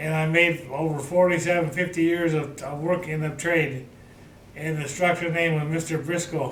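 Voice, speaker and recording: A man with an American accent and a fairly high pitch talks at a moderate pace, with noticeable background noise and audible room echo. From Michigan, then California desert from age twelve. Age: 70s. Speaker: retired machinist. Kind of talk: life story interview. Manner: halting, with hesitations.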